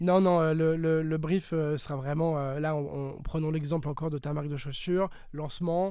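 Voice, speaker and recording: At a moderate pace, a man speaks in a monotone, flat delivery with a dark, mellow tone and a fairly high pitch. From Alsace, France. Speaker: digital marketing strategist. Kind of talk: interview. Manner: hesitant, many fillers.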